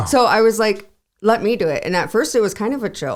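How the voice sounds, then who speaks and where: A woman with an Upper Midwest accent talks at a fairly quick pace with vocal fry. The recording is very clean, with a silent background. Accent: Upper Midwest American. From South Dakota. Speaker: insurance agent. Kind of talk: podcast interview answer. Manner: casual, chatty.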